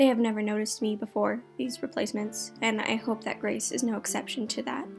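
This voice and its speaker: A woman at a moderate pace with music in the background. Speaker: ASMR artist and creepypasta writer-reader. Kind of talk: ASMR creepypasta reading while painting. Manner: soft-spoken.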